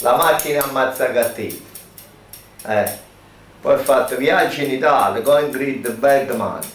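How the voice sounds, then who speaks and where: Long, frequent pauses break up this man's fairly slow speech, and the room echo is audible. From Campania. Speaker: former film extra; witness. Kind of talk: interview. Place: shop.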